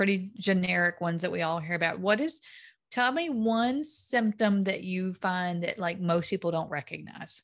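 An ordinary speaking voice at a moderate pace, with lively intonation over a quiet background. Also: woman, medium pitch for a woman. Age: 50s. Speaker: podcast host and weight-loss coach. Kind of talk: casual interview chat.

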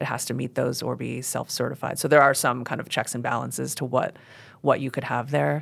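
A woman with an American accent speaks with vocal fry on a very clean recording with a silent background. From US Northeast, New York City. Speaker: county land-use planner. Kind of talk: interview.

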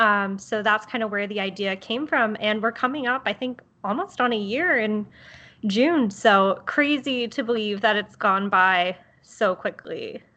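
In an American accent, a woman speaks fairly slowly in a fairly high, bright, sharp voice with ordinary pitch variation. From Baltimore, Maryland. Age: 20s. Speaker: podcast co-host. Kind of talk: casual chat.

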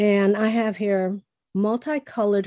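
A woman speaks at medium pitch and a fairly slow pace, her tone dark and mellow. The sound is dry and close with no echo, and the background is quiet. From Chicago, US. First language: Spanish. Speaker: podcast host. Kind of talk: casual interview.

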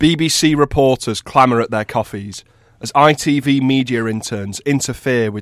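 Read aloud plainly, the voice shows ordinary pitch variation.

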